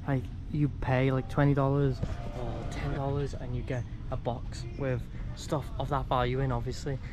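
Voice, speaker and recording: A man at a moderate pace with monotone, flat intonation, clear music in the background. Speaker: travel vlogger. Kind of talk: casual vlog chat. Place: shop. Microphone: phone near.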